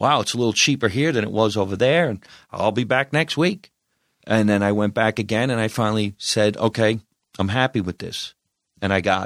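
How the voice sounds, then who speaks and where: Speech comes at a fairly quick pace with ordinary pitch variation, in a New Jersey accent. The recording is very clean with a silent background and a dry, close sound with no echo. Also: man. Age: 50s. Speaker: comedian. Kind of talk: casual chat.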